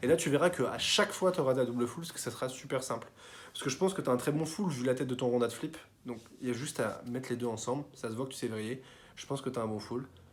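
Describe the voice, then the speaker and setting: The pace is very fast. Pitch rises and falls in an ordinary way. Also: man, medium pitch for a man. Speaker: tricking coach YouTuber. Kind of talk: tutorial feedback. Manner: casual, filler-heavy.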